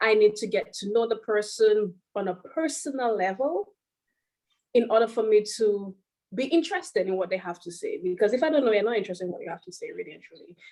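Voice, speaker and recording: Speaking at a fairly quick pace in a Caribbean accent, a woman uses a fairly high pitch, ordinary pitch variation and big swings in loudness. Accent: Caribbean island. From Caribbean (Barbados and Saint Lucia). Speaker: playwright and teacher. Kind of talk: talk to an audience.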